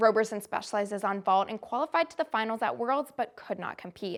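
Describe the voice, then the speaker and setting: This woman has an ordinary speaking voice, fairly high in pitch, with lively intonation and a fairly quick pace, on a very clean recording with a silent background. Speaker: student sports reporter. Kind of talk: sports news anchor read.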